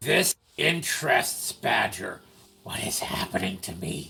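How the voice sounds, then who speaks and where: A man's raspy, put-on character voice, pitched fairly low. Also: fairly slow pace. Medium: actual play. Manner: refers to self in third person.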